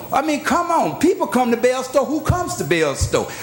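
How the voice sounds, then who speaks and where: Over noticeable background noise, a man with an American accent speaks in an animated tone at a fairly quick pace and an extremely high pitch. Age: 60s. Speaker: clergyman speaking at public comment. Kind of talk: public comment at city meeting. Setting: city commission chambers.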